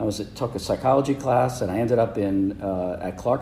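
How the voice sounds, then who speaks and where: With an American accent, a man speaks in a dark, mellow, somewhat breathy tone and lively intonation. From US Northeast, Providence, Rhode Island. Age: 60s. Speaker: leadership consultant. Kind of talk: interview conversation. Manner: halting.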